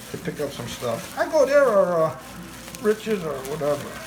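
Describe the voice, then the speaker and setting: Music plays in the background as the speaker, with a Chicago accent, talks at a moderate pace with very wide pitch swings. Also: man. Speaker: army veteran, barber, cook. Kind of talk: casual cooking talk.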